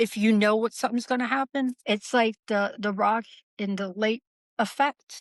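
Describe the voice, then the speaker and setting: A woman's normal speaking voice, fairly high in pitch, at a moderate pace with fairly even intonation and a dry, close sound with no echo. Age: 50s. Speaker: paranormal experiencer. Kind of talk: casual chat. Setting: shed.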